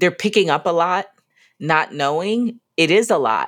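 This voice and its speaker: With an American accent, a woman speaks at a fairly slow pace on a very clean recording with a silent background. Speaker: podcast co-host and business founder. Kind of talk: casual conversation podcast.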